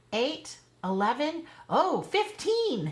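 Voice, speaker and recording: Put-on character voice from a woman, high-pitched and swinging very widely in pitch. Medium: read story. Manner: excitable, fretful.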